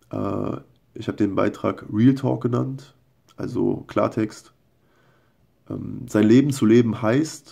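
Against a quiet background, a man talks at a fairly low pitch in a dark, mellow tone with vocal fry and ordinary pitch variation. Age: 20s. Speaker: video blogger. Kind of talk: casual monologue and reading his own posts aloud. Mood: earnest, personal confession. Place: home room. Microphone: phone near.

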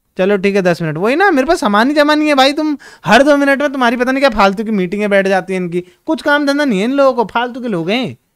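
Extremely high-pitched for a man, his voice carries an animated tone and lively intonation. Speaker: gaming streamer. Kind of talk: live gameplay stream chat.

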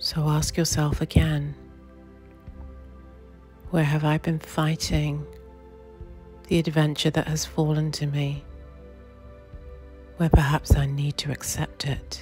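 A woman with a British accent speaks at a very slow pace, pausing long and often, with music in the background. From New Zealand. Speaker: meditation guide. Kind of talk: guided meditation. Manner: slow, soft-spoken.

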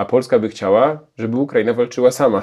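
A man's dark, mellow voice moves at a fairly quick pace, with the background quiet. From Poland. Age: 40s. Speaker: historian and journalist; journalist. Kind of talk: Q&A interview answers. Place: home room. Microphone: lapel.

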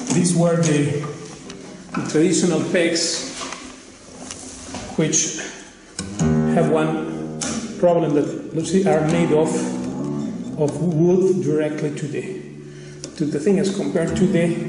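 A very slow man's voice with long, frequent pauses, clear background music and audible room echo. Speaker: guitar seller or maker. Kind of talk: product demonstration. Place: home room. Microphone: phone near.

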